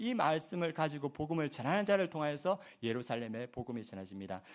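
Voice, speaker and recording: Fairly quick speech with very wide pitch swings. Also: man. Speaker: pastor. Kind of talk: sermon. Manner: fast.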